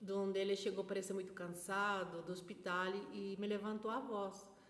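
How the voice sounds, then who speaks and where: A woman of medium pitch speaks with a Spanish accent, with noticeable background noise and audible room echo around her. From Peru, Lima. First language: Spanish (speaking Portuguese). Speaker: vlogger. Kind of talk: personal testimony. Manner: halting, with fillers.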